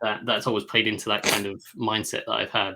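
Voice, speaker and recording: Over a silent background in a very clean recording, a man speaks with an English accent at a fairly low pitch. His tone is bright and sharp, his intonation monotone and flat. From England. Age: 30s. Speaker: NFL analyst. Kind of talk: podcast interview. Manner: halting.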